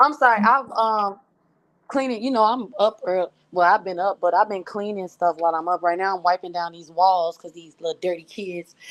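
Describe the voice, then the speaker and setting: A woman speaks at a fairly quick pace with ordinary pitch variation and big swings in loudness. The sound is dry and close, with no echo. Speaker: livestream participant. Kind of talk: casual chat.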